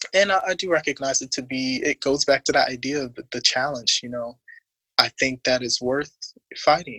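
Long, frequent pauses break up this moderate-paced speech in an American accent. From New York City (Harlem). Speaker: singer and actor. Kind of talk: casual chat. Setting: video call.

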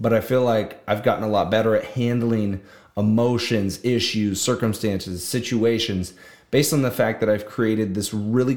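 At a fairly quick pace, a man talks in a normal speaking voice, fairly low in pitch, with fairly even intonation. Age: 20s. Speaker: solo podcaster. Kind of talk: casual monologue. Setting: video recording.

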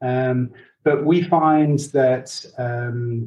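A man's fairly high, somewhat breathy voice in an English accent, dark and mellow in tone, with monotone, flat intonation. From England. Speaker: leadership coach. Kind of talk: interview.

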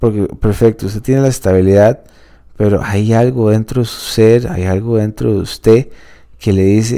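A man's dark, mellow voice at a fairly low pitch, fairly slow in pace, with ordinary pitch variation. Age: 30s. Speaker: podcast host, legal business consultant. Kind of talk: solo podcast monologue. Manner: halting with many fillers.

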